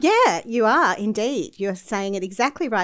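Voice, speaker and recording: Speech comes at a moderate pace with lively intonation. The background is silent and the recording very clean. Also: woman. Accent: Australian. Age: 40s. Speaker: entrepreneur. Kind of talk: interview.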